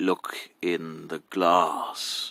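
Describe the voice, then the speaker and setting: A man puts on a character voice that is raspy and very deep, low in pitch. The sound is dry and close, with no echo. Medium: read story. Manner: sly, mocking.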